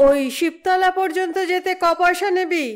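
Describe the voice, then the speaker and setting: Her voice is pitched extremely high. A woman puts on a character voice. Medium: read story. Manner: terse, moralizing.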